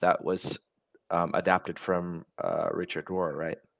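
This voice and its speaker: On a very clean recording with a silent background, a man with an American accent speaks at a moderate pace in a dry, close sound with no echo. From US, New York. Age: 30s. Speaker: podcast host. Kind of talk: casual conversation. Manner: halting, many fillers and restarts.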